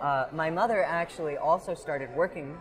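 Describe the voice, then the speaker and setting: This man, who has an American accent, keeps a moderate pace while noticeable background noise carries on behind him. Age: 20s. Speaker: fair volunteer and intern. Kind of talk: casual interview. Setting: outdoors at a fair.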